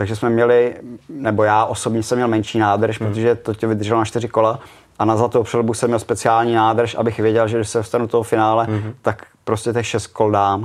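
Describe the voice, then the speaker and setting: A man speaks at a fairly quick pace with a medium pitch. His intonation is monotone and flat, and his loudness stays very even. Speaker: retired speedway rider. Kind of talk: casual interview.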